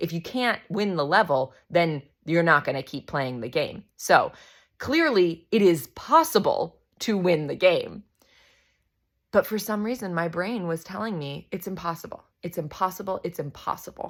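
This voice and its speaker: The recording is very clean, with a silent background, and a woman speaks in a normal speaking voice at a medium pitch. Her intonation is lively and her pace moderate. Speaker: intuitive human design coach and yoga nidra guide. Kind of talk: casual talk to camera, motivational coaching.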